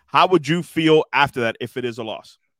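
Lively intonation marks a man's fairly high-pitched delivery in a plain, everyday voice. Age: 40s. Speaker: podcast host. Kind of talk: casual chat.

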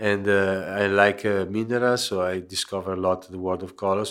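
In a very clean recording with a silent background, a man with an Italian accent speaks in a very deep, low pitch. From Genoa, Italy. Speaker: pebble mosaic artist. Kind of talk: interview. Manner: halting.

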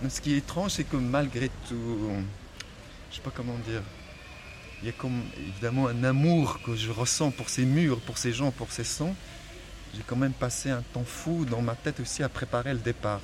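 A man speaks at a medium pitch with long, frequent pauses. There is noticeable background noise. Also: ordinary pitch variation, moderate pace. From Morocco, Salé. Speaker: novelist. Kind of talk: personal testimony on a walk. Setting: outdoors, walking through the city. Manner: halting, with many repetitions.

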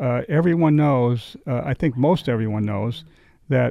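A man speaks at a moderate pace with a slight New England accent and a dark, mellow tone. The sound is dry and close with no echo, over a quiet background. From western Massachusetts. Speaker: winery owner. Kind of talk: casual interview chat. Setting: studio. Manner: halting, hesitant.

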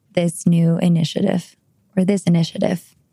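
At a moderate pace, this voice has a dark, mellow tone and a Spanish accent. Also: woman, dry, close sound with no echo. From Colombia. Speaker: podcast co-host. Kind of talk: panel discussion.

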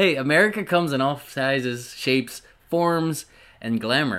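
A man talks at a medium pitch with lively intonation. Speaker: podcast co-host. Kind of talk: casual chat. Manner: animated.

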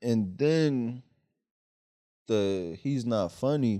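On a very clean recording with a silent background, the voice carries a dark, mellow tone. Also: man. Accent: Philadelphia. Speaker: stand-up comedian. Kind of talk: casual chat.

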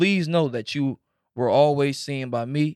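A man speaks in a plain, everyday voice at a fairly high pitch and a moderate pace, with ordinary pitch variation. The sound is dry and close with no echo. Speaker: podcast host.

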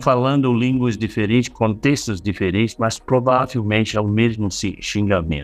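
Over music in the background, a man talks at a fairly slow pace in a fairly low voice. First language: not Portuguese (speaking Portuguese). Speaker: author and meditation teacher. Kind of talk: interview. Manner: halting, searching for words.

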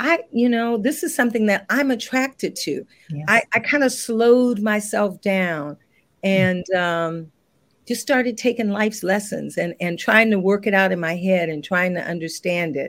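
At a moderate pace, a woman with an American accent speaks at a medium pitch with lively intonation. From New Orleans, with years in California. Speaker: interior designer and business owner. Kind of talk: interview.

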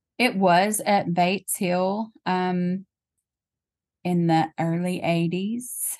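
In a Tennessee accent, a woman talks at a medium pitch with fairly even intonation. Her pace is very slow over a quiet background. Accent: Southern US (Tennessee). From US South, Tennessee. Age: 40s. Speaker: legal secretary and church worship leader. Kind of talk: casual interview about faith.

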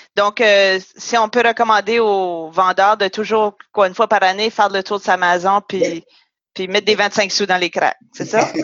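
A woman's medium-pitched voice stays monotone and flat as she talks fairly slowly. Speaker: podcast host. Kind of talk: interview.

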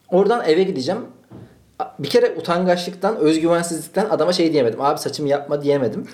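Audible room echo follows a man with a high pitch who talks at a fairly quick pace. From Turkey, Malatya then Ankara. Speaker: podcast host. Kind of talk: casual chat.

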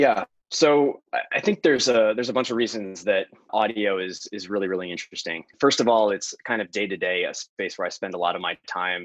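Here is a man with an ordinary speaking voice and an American accent. He sits at a fairly low pitch with ordinary pitch variation. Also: dry, close sound with no echo. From US. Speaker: venture investor. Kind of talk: interview.

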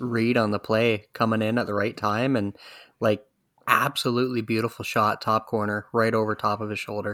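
A man's plain, everyday voice at medium pitch and a moderate pace. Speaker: co-host. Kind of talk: casual sports chat.

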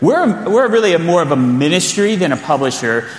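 A man speaks with lively intonation against noticeable background noise. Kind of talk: conference teaching. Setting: church conference.

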